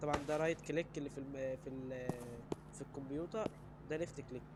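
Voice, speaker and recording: A man talks with an Egyptian accent. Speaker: gaming YouTuber. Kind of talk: gameplay commentary. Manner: casual, animated.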